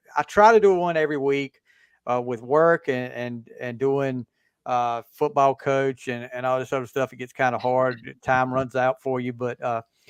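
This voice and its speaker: A man with a Southern US accent speaks at a medium pitch and moderate pace. His intonation is fairly even, and the sound is dry and close with no echo. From US South. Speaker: podcast host and football coach. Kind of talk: casual chat.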